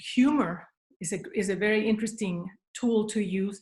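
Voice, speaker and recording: A woman speaks in a somewhat breathy voice with a Spanish accent. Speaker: leadership speaker. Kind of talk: keynote talk. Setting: video call, standing up.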